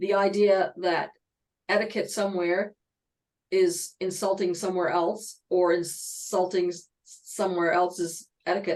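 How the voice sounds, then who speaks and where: A woman at a medium pitch and a fairly slow pace, her intonation monotone and flat. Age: 60s. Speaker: webinar host. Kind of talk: panel discussion. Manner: halting, many false starts.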